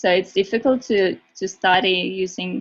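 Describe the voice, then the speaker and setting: Speaking very slowly with a Russian accent, a woman keeps her intonation fairly even. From Russia (Moscow). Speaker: university student. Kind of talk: webinar presentation.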